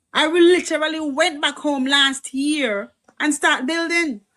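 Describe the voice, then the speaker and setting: This woman has a high pitch and a bright, sharp tone. She speaks at a very slow pace. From Jamaica. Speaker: livestream host and medical worker. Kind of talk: casual political livestream chat.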